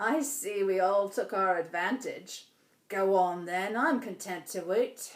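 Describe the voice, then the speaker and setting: Putting on a character voice, a woman cackles at a medium pitch and a fairly slow pace. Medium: read story. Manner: cackling, coarse.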